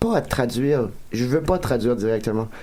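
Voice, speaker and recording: With audible room echo, a man speaks at a moderate pace in a dark, mellow tone with ordinary pitch variation. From Acadia, New Brunswick (Dieppe, Moncton). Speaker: comedian. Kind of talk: casual chat.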